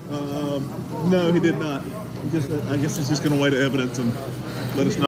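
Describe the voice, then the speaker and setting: A man with a fairly high voice speaks at a moderate pace and fairly even intonation. Noticeable background noise runs beneath him. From United States. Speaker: podcast host and political commentator. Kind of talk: interview answer. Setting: outdoors. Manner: casual, indignant.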